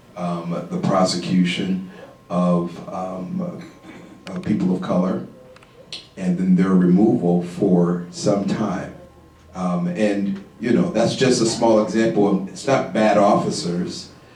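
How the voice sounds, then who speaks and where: Over music in the background and with audible room echo, a man speaks very slowly in a very deep, low voice with fairly even intonation. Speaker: panel expert on criminal justice. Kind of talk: panel discussion. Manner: quiet; halting, many fillers.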